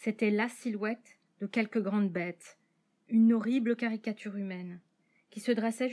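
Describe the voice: The text is read aloud plainly with fairly even intonation. The background is quiet.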